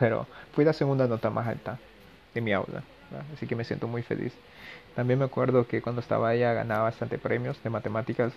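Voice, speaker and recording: A man talks at a very fast pace with vocal fry. He leaves long, frequent pauses. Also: medium pitch for a man. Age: 20s. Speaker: podcaster, university physics student. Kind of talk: casual monologue. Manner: hesitant, many fillers.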